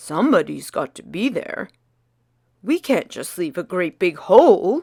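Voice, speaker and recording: This put-on character voice sounds female and sits at a fairly high pitch. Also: moderate pace. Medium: read story.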